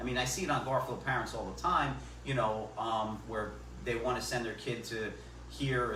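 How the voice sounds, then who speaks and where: There is noticeable background noise and audible room echo as a man talks at a moderate pace. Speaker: local election candidate. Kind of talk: public forum discussion. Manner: loud; halting, repeats words.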